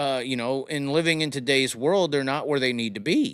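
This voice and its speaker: A fairly high male voice at a moderate pace, with lively intonation. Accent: Southern US. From US South. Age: 30s. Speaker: live-stream host. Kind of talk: casual chat with caller.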